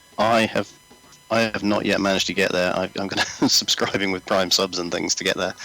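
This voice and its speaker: Over music in the background, a man with a very deep, low pitch talks at a fairly quick pace with fairly even intonation. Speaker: co-host. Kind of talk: casual chat. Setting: live stream.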